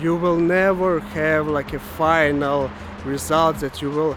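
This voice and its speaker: Speaking very slowly with a strong Ukrainian accent, a man with a fairly high voice comes through over noticeable background noise. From Ukraine. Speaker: web developer vlogger. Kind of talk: casual vlog monologue. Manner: halting, many fillers.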